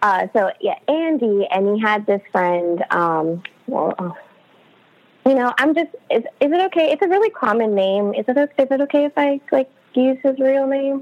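A woman's high voice with very wide pitch swings over noticeable background noise. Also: moderate pace. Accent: American. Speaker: abuse survivor. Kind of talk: casual interview, personal story.

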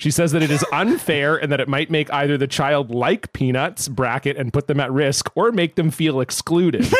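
A man with a normal speaking voice and ordinary pitch variation, in a dry, close sound with no echo. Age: 30s. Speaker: podcast co-host. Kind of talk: casual chat. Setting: studio.

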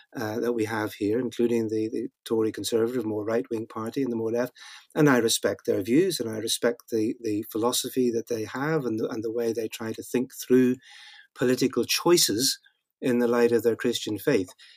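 The speech comes at a fairly quick pace in a Northern Irish accent. Intonation stays fairly even, and the sound is dry and close with no echo. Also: man, medium pitch for a man. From Northern Ireland. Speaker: Old Testament scholar and author. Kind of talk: interview conversation. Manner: halting, frequent repetitions.

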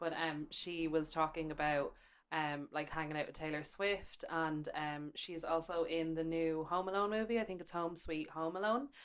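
A woman speaks in an Irish accent, her pitch fairly low and her intonation fairly even. Her pace is moderate, with hardly any pauses. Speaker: podcast co-host, magazine editor. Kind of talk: casual chat.

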